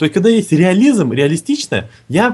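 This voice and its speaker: This man speaks at a fairly quick clip, his pitch swinging very widely. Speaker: podcast co-host. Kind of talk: casual chat. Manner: animated.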